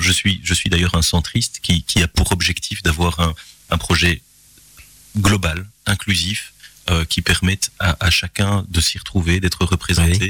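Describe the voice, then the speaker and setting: Noticeable background noise accompanies a man whose voice is very deep and low. The sound is dry and close with no echo, and his intonation stays fairly even. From Belgium, Gilly near Charleroi. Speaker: local politician and lawyer. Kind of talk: radio interview. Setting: radio studio.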